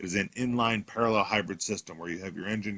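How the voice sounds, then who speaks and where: The voice has a bright, sharp tone, recorded with a dry, close sound and no echo. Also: man. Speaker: car salesman. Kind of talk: product walkthrough video. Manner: fast.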